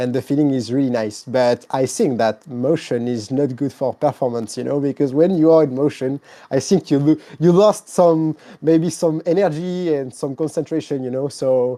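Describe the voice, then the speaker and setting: A man's fairly high voice in a French accent, dark and mellow in tone, at a moderate pace with ordinary pitch variation against a quiet background. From France. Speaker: sim racing content creator. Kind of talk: casual interview. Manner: halting.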